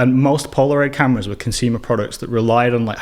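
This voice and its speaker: A man with a northern English accent talks at a very fast pace. His pitch is medium. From northern England, Burnley near Manchester. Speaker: filmmaker and educator. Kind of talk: podcast interview.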